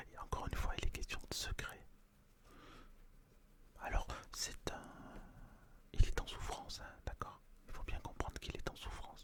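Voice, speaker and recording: A man whispers in a calm, gentle tone at a moderate pace, with long, frequent pauses. His loudness swings a lot. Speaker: ASMR roleplay performer playing a fortune-teller tarot reader. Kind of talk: ASMR roleplay, tarot reading consultation with a client. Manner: calm, gentle, conversational.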